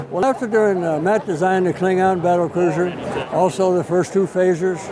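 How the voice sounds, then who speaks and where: A man's high-pitched voice at a fairly quick pace, with very even loudness, fairly even intonation and noticeable background noise. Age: 90s. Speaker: WWII veteran and author. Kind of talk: casual interview. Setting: public event with passers-by.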